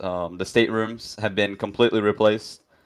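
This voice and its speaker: With a non-native accent, a man talks in a fairly low pitch and fairly even intonation on a very clean recording with a silent background. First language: not English. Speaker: game developer, 3D modeler. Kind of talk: live dev stream chat. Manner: hesitant, many fillers.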